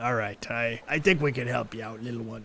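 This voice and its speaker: A man puts on a raspy character voice at a medium pitch. He talks fairly quickly, with big swings in loudness. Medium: actual play. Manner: gruff, slurring, rambling.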